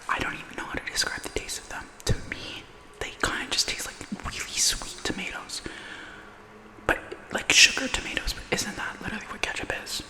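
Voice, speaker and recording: A woman whispers at a fairly quick pace, broken by long, frequent pauses, with big swings in loudness. Noticeable background noise runs underneath. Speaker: ASMR content creator. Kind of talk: casual talk to camera, ASMR ramble while eating. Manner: soft, intimate, chatty.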